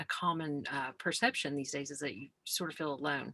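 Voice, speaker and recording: A woman's voice with very deep, low pitch, a bright, sharp tone, and fairly even intonation. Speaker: school mental health coordinator. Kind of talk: presentation. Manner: fast.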